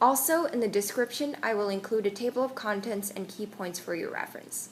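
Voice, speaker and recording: Noticeable background noise sits under a woman's fairly high-pitched voice. She talks at a fairly quick pace with ordinary pitch variation. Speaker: pet frog keeper. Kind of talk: casual voice-over commentary. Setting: home recording, sometimes muffled mic.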